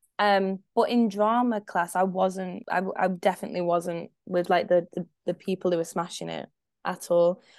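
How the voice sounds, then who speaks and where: Recorded dry and close with no echo against a quiet background, a woman with a Scottish accent speaks at a moderate pace and medium pitch with fairly even intonation. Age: 20s. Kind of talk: casual chat.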